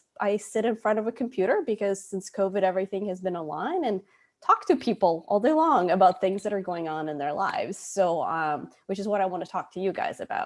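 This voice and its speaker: Speaking fairly quickly, a woman uses an unremarkable speaking voice at a medium pitch with lively intonation. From US, moved from Moscow at eleven. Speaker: psychologist. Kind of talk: webinar presentation.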